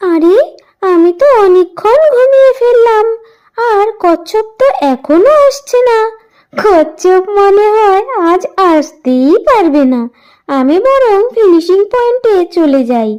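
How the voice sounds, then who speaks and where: A woman uses a cartoonish character voice at an extremely high pitch. She speaks at a fairly slow pace. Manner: cocky, mocking.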